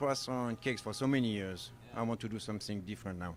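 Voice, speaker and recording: With a strong French accent, the speaker moves at a fairly quick pace with ordinary pitch variation. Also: man. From France, Normandy. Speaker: baker and chef, restaurant owner. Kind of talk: interview answers while cooking.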